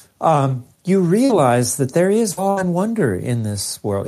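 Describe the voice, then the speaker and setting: This man's voice has a dark, mellow tone, sounds somewhat breathy, and moves through very wide pitch swings. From US West, East Los Angeles, Mexican-American. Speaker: physicist and author. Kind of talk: interview. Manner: animated.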